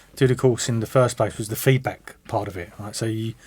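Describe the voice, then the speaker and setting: In a southern English accent, a man talks at a very fast pace. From London. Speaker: music production student and DJ. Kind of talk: interview. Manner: hesitant, many repetitions.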